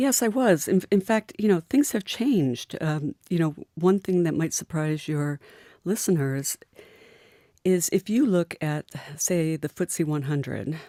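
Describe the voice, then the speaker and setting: A woman with an American accent has a plain, everyday voice, fairly low in pitch, with lively intonation at a fairly slow pace. The sound is dry and close with no echo, in a very clean recording, silent background. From US Midwest, Michigan. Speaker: mountaineer. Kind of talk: radio interview. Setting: radio studio.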